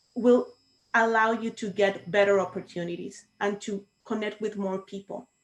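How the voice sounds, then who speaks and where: A woman with a Spanish accent talks at a fairly slow pace and a fairly high pitch. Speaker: Toastmasters club co-founder. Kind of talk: panel discussion on video call.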